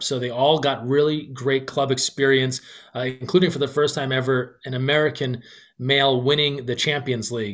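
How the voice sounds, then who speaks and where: Keeping a fairly even intonation, a man talks at a fairly quick pace. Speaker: podcast guest or host on sports. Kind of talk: commentary. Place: home room. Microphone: webcam.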